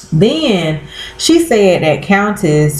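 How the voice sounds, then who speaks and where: Audible room echo is present. The voice belongs to a woman. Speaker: vlogger. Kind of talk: casual vlog chat. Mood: exasperated, opinionated. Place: home room. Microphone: webcam.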